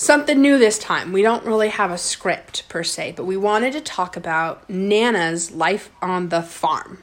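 A woman with a plain, everyday voice speaks at medium pitch and a fairly slow pace, with ordinary pitch variation. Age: 20s. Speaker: podcast host interviewing her grandmother. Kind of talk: casual family chat. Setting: recorded at home with grandmother.

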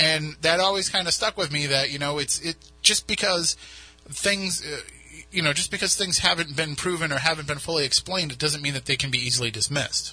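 A man speaks fairly quickly, his pitch varying in an ordinary way, with noticeable background noise behind him. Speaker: radio host. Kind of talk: radio talk show. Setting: radio studio.

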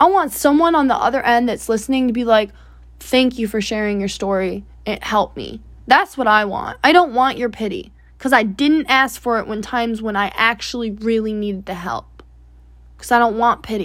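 A plain, everyday voice, a woman's with fairly high pitch and ordinary pitch variation, speaks at a moderate pace on a very clean recording with a silent background. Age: 20s. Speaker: solo podcast host, young entrepreneur. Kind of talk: personal monologue. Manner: casual, filler-heavy.

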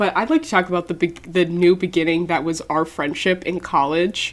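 With noticeable background noise behind her, a woman speaks at a moderate pace in a fairly low pitch. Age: 20s. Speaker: podcast co-host. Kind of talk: casual chat.

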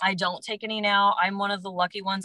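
With fairly even intonation and a medium pitch, this woman has a normal speaking voice. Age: 30s. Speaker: health coach. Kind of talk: casual interview.

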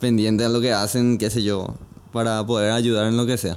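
The recording is very clean, with a silent background. A man speaks in a monotone, flat intonation. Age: 20s. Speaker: church musician and band member. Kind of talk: casual interview chat.

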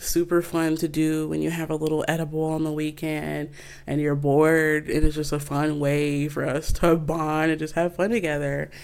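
This woman has a very deep, low pitch and an American accent. She talks at a moderate pace with hardly any pauses. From Flint, Michigan, US. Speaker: podcast host. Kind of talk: casual chat. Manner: animated.

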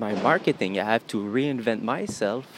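A man in a Quebec French accent at a medium pitch, with ordinary pitch variation. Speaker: podcaster and agency owner. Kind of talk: solo monologue podcast.

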